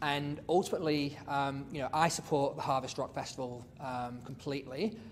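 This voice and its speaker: Audible room echo surrounds a man with a fairly high voice. He talks at a moderate pace with ordinary pitch variation. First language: not English. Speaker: city councillor. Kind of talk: council meeting debate. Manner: hesitant, many fillers.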